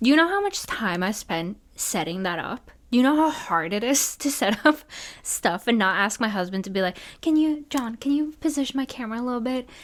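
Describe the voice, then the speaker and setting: With a slight non-native accent, a woman talks fairly quickly in a high, animated voice full of very wide pitch swings. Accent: slightly non-native English. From Norway. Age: 20s. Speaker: podcast host, wedding photographer. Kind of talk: casual solo podcast chat.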